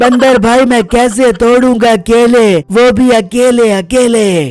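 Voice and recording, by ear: With light background noise, a man in a cartoonish character voice talks at a very slow pace and an extremely high pitch.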